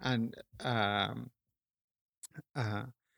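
A man with a Peruvian accent, medium in pitch with fairly even intonation, in a dry, close sound with no echo and a very clean recording with a silent background. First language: Spanish. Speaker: sculptor and painter. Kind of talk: casual interview.

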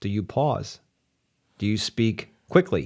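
A normal speaking voice, recorded very cleanly over a silent background. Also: man. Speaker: podcast host for outdoor living contractors. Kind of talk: casual chat.

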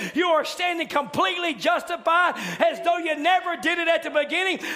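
Against noticeable background noise, a man with an extremely high pitch uses a raised, projected voice and an animated tone at a moderate pace. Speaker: preacher. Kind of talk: sermon. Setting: church midweek service. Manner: animated, exhortative, building to call-and-response style exclamations.

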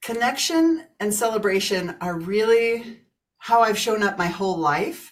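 A woman with an American accent, fairly high in pitch, in a plain, everyday voice, with lively intonation and a fairly slow pace. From US Midwest, Kansas. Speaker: business coach and author. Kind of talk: interview, casual chat.

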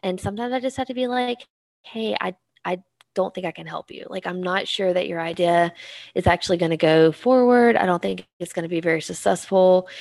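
With an American accent, a woman speaks in an unremarkable speaking voice at a medium pitch. Her loudness swings widely. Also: ordinary pitch variation, fairly quick pace, dry, close sound with no echo. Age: 30s. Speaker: marketing professor. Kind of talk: casual chat.

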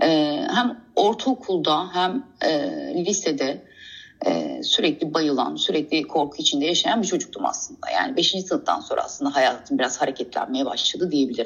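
The speech moves at a moderate pace with very even loudness. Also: woman. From Istanbul, Turkey. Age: 40s. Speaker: guest sharing life story. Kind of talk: personal testimony. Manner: halting, many hesitations.

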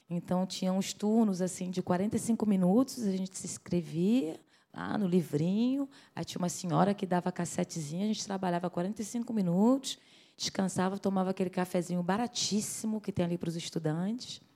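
A woman with a northeastern Brazilian accent speaks at a medium pitch and moderate pace with ordinary pitch variation. Her tone is dark and mellow, on a very clean recording with a silent background. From Brazil, Rio de Janeiro. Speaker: singer. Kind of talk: interview. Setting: at home.

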